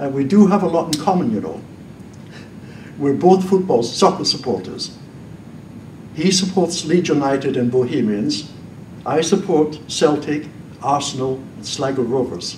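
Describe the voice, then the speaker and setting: A man's fairly high voice at a moderate pace, with lively intonation, long and frequent pauses, and audible room echo. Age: 80s+. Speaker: former priest, debater. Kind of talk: public debate speech. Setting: stage with audience.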